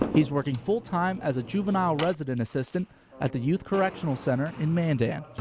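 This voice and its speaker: A man talks at a very fast pace with a fairly high pitch and ordinary pitch variation. Noticeable background noise runs under his voice. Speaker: sports anchor and reporter. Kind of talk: TV sports feature narration.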